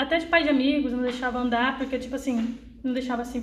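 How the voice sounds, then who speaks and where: Amid audible room echo, a woman talks very fast at a high pitch in a flat monotone. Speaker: young apprentice in finance. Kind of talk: personal testimony.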